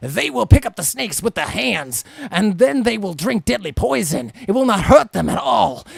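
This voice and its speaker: A man's put-on character voice, high-pitched, with very wide pitch swings. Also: moderate pace. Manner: preachy, declamatory.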